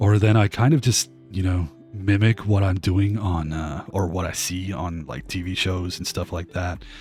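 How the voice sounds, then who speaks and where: Over music in the background, a man with an American accent speaks at a moderate pace in a very deep, low pitch with ordinary pitch variation. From Australia. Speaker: game streamer. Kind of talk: live stream chat while gaming. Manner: casual, hesitant with fillers.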